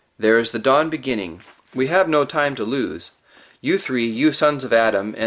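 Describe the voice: Ordinary pitch variation in plain reading aloud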